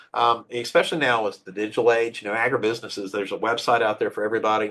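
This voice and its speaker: A man speaks at a very fast pace with a medium pitch. The background is quiet. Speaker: workshop presenter on intellectual property. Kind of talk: educational workshop. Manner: animated.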